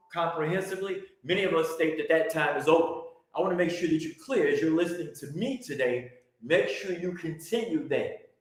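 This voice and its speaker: In a room with audible echo, a man speaks at a fairly quick pace in a high pitch with ordinary pitch variation. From US Midwest, Chicago. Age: 60s. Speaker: religious teacher. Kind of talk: teaching presentation.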